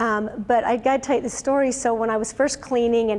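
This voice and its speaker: A woman at a fairly quick pace over noticeable background noise. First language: German. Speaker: business owner and speaker. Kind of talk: motivational talk. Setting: seminar with audience. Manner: casual, animated storytelling.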